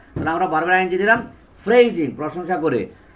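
A man's speech carries an audible echo from the room. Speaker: English teacher. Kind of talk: lecture.

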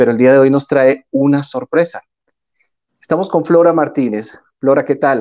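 Over a quiet background, a man talks at a moderate pace in a fairly high pitch, with a dark, mellow tone and ordinary pitch variation. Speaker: interviewer. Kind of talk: interview. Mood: warm, upbeat. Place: home room. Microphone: earbuds.

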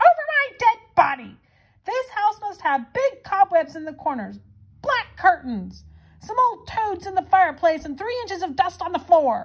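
A put-on character voice speaks at a moderate pace. Its tone is furious. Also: woman, extremely high pitch for a woman. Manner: screaming, furious.

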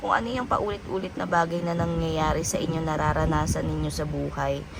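Moderately paced talking against noticeable background noise. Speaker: tarot reader. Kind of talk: tarot reading monologue. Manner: casual, many fillers.

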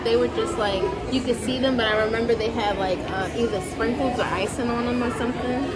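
Over crowd noise in the background, a woman talks at a fairly quick pace. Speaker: vlogger. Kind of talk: casual vlog chat. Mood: cheerful then mildly disappointed. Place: shop. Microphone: phone near.

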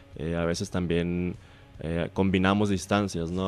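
A man with a very deep, low pitch talks at a fairly quick pace in a flat, monotone intonation. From Mexico, Hermosillo (Sonora). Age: 20s. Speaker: speed skater, world champion athlete. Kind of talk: radio interview.

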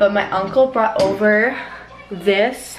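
A woman speaks at a very slow pace with ordinary pitch variation. Noticeable background noise is present. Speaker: family vlogger. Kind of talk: casual vlog chat. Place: home room. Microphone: camera far.

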